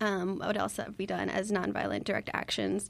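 The pace stays moderate. The speaker has an unremarkable speaking voice. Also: woman. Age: 20s. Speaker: climate activist. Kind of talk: radio panel discussion.

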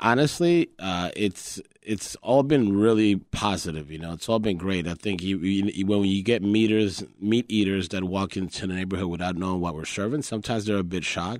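With hardly any pauses and a fairly quick pace, a man speaks in a fairly low voice with a Spanish accent and ordinary pitch variation on a very clean recording with a silent background. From Colombia. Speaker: chef and restaurant owner. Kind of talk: interview. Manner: hesitant, many fillers.

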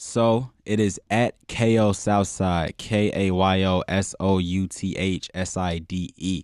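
A man with a very deep, low voice speaks at a very slow pace with fairly even intonation and hardly any pauses. The recording is very clean and silent behind him, dry and close with no echo. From Chicago. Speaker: rapper. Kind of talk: radio interview. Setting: radio studio.

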